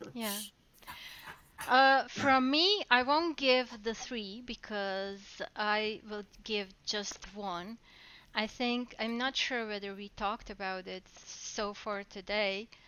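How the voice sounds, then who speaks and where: A woman with a non-native accent, very slow, her fairly high voice moving in ordinary pitch variation, with big swings in loudness. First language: not English. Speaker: talk show host. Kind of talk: live talk show. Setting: live stream.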